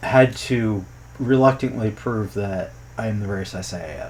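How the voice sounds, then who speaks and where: Somewhat breathy, this voice moves with ordinary pitch variation. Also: man. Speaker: youtuber and programmer commenting on game localization. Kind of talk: casual commentary vlog.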